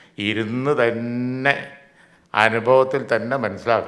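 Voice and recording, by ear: A man speaks at a fairly slow pace with fairly even intonation. His tone is fairly bright. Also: medium pitch for a man.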